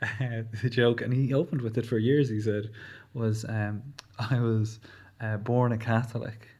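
A man speaks at a moderate pace and medium pitch in a Leinster accent. His voice is somewhat breathy, with monotone, flat intonation. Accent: Irish, Leinster. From Newbridge, County Kildare, Ireland. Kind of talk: casual interview chat. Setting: studio.

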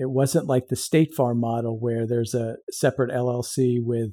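The speaker has an unremarkable speaking voice and keeps a moderate pace. The sound is dry and close, with no echo. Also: man. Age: 50s. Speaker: insurance agency owner and veteran. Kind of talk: casual interview.

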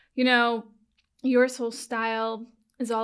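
On a very clean recording with a silent background, a woman with an American accent speaks in a fairly high pitch with an unremarkable speaking voice. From New York, Long Island and Manhattan. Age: 40s. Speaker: stylist. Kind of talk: casual interview chat.

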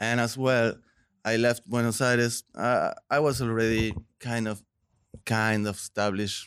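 In a Spanish accent, a man speaks at a fairly slow pace with monotone, flat intonation. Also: medium pitch for a man. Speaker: visual artist. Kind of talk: interview.

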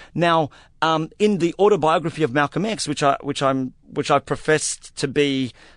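In a dry, close sound with no echo and a quiet background, a man speaks with an Australian accent. His pitch is fairly high and varies in an ordinary way. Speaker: novelist. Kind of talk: interview. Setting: studio.

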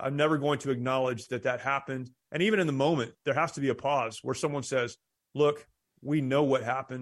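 A man with a normal speaking voice, fairly high pitch, fairly even intonation and a fairly quick pace, over a quiet background. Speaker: war veteran and pastor. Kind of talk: interview.

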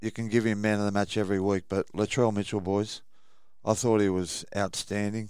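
In a very clean recording with a silent background, a man with an Australian accent talks at a fairly quick pace with a fairly low pitch and monotone, flat intonation. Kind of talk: casual chat.

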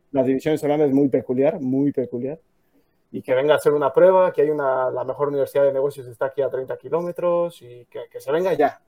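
A man with a plain, everyday voice, fairly high in pitch, at a fairly quick pace, with fairly even intonation and big swings in loudness. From Mexico. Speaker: footballer. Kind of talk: casual chat. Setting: livestream.

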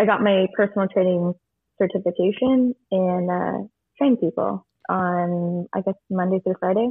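At a moderate pace, a woman talks in a normal speaking voice at a medium pitch. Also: fairly even intonation. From California. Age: 20s. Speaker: bartender. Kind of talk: casual chat. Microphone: echoey room.

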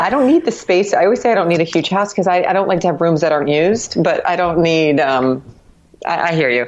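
Speaking with an ordinary speaking voice and an American accent, a woman moves at a fairly quick pace with fairly low pitch, lively intonation and very even loudness. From Miami, Florida. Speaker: marathon runner and cycling community member. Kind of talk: casual interview. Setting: Skype call.

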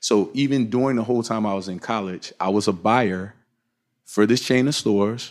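A man with an unremarkable speaking voice, fairly low pitch, moderate pace and fairly even intonation, on a very clean recording with a silent background. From Virginia Beach, US. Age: 40s. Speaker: fashion company co-founder. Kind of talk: interview. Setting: on location at company headquarters.

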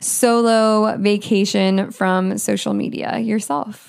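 A normal speaking voice from a woman, medium in pitch. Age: 20s. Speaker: podcast host. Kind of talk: solo podcast monologue.

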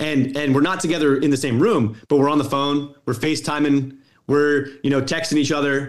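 A man with an American accent and a normal speaking voice talks at a moderate pace and fairly high pitch, with fairly even intonation and very even loudness. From Colorado, US. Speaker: sports analytics executive and author. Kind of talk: interview.

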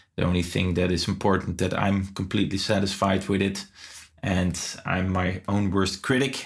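A man with a Dutch accent, very deep and low in pitch, somewhat breathy, in a flat monotone. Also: moderate pace, very even loudness. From Netherlands. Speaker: metal guitarist and guitar teacher. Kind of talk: casual interview chat.

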